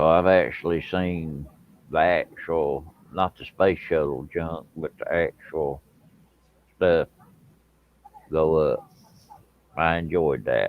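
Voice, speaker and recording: Using very deep, low pitch and fairly even intonation, a man talks at a very slow pace with long, frequent pauses. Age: 50s. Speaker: live stream guest. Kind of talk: casual chat. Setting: live stream.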